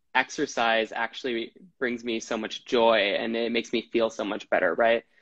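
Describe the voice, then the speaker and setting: A man with an American accent talks at a moderate pace and medium pitch in a normal speaking voice. The sound is dry and close with no echo, and the background is quiet. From Wisconsin. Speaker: actor and health coach. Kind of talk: casual interview. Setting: video call.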